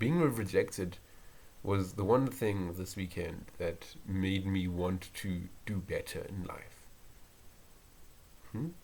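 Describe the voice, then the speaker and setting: Quietly and at a very slow pace, a man with a fairly low pitch speaks, leaving long, frequent pauses. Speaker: university student. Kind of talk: casual solo podcast talk. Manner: monotone, quiet; hesitant, with filler words.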